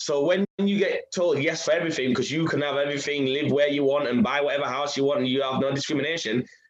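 A man speaks with a Yorkshire accent at a very fast pace. His pitch is fairly high, with ordinary variation. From Leeds, Chapeltown, England. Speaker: radio presenter and DJ. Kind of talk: casual interview.

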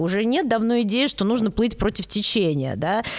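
A woman talks at a fairly quick pace in a fairly high voice, with noticeable background noise behind her. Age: 30s. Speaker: psychologist / analyst. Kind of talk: casual chat.

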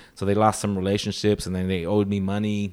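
A man's fairly low voice, monotone and flat, at a fairly quick pace, on a very clean recording with a silent background. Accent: American. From Los Angeles, Filipino family. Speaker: stand-up comedian. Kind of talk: casual interview chat. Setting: in Las Vegas.

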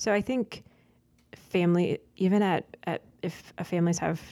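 A woman with a dark, mellow tone and vocal fry speaks with ordinary pitch variation. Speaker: religious sister. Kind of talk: casual chat.

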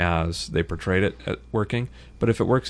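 A man talks with a very deep, low pitch and vocal fry. His intonation is lively. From small-town US. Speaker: journalist and author. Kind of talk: casual chat.

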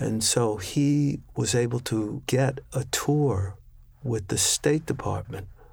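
Somewhat breathy, a man speaks with an American accent on a very clean recording with a silent background. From Washington, D.C. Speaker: timpanist. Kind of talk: interview conversation.

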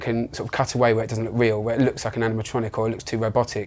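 The speaker is a man with a medium-pitched voice. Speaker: animatronic designer. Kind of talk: interview. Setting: studio.

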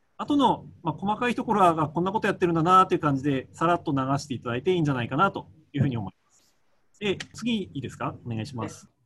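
A man rattles along at a very fast pace in a high, bright, sharp voice, with very wide pitch swings and big swings in loudness. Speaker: physician. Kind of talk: lecture. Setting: video call. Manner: halting, many fillers.

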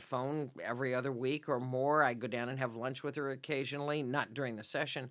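In an American accent, a woman speaks at a moderate pace with a very deep, low pitch. Her intonation is monotone and flat. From Central Oregon, US (Redmond). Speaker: state senator. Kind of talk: interview conversation.

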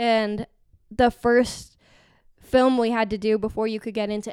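In a very clean recording with a silent background, a woman with an American accent speaks at a fairly high pitch in a monotone, flat intonation. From Arizona. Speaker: podcast guest, former conspiracy theorist. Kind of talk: casual chat.

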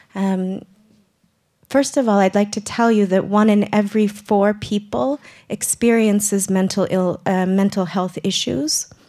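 At a fairly slow pace, a woman speaks with a dark, mellow tone, medium pitch and ordinary pitch variation. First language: English (speaking Swedish). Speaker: radio presenter, clubhouse member. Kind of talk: prepared speech; live radio presenting. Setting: live broadcast before studio audience.

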